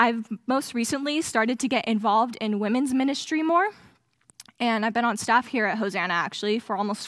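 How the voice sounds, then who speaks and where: Fairly quick speech from a woman with ordinary pitch variation, a dry sound with no echo and a quiet background. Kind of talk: sermon. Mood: a little nervous, warm. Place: stage. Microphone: headset.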